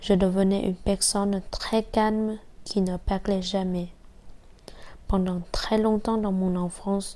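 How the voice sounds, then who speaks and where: A woman with a dark, mellow tone at a medium pitch, very slow pace and monotone, flat intonation. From Vietnam. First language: Vietnamese (speaking French). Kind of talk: personal testimony.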